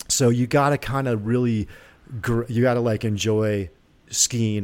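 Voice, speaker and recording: A man speaks in an unremarkable speaking voice at a moderate pace, with fairly low pitch and fairly even intonation. The recording is very clean with a silent background. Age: 50s. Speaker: former pro snowboarder. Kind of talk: casual interview chat.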